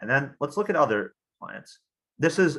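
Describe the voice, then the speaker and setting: A man talks in a bright, sharp tone. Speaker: engineer and green technology expert. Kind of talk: lecture. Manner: fast; halting, many fillers.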